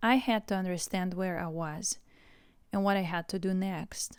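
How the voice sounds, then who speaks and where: A woman with a Russian accent at a fairly slow pace, in a very clean recording with a silent background. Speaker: English teacher. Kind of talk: scripted narration.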